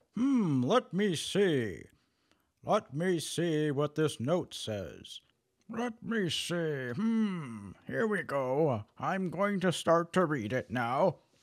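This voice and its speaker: Putting on a character voice, a man speaks very slowly in a fairly high pitch. His pitch swings very widely, and the recording is very clean with a silent background. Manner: slow, hesitant.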